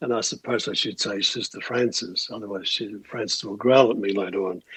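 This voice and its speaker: A man talks at a fairly quick pace with an Australian accent. His intonation stays fairly even. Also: medium pitch for a man. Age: 70s. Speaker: musician. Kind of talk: interview.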